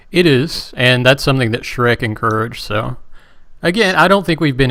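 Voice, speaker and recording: Speaking with a West Virginian accent, a man moves at a fairly quick pace. His tone is bright and sharp. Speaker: game broadcast commentator. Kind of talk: live commentary.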